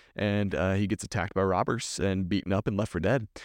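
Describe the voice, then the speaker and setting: Over a quiet background, a man with a Texan accent and fairly low pitch talks at a fairly quick pace, the sound dry and close with no echo. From Texas. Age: 20s. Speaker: youth minister. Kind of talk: casual chat.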